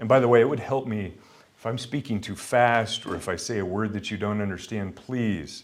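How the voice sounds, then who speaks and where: At a moderate pace, a man with a western US accent talks at a medium pitch with ordinary pitch variation. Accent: western American. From Montana, US. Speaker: pastor and guest lecturer. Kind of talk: lecture.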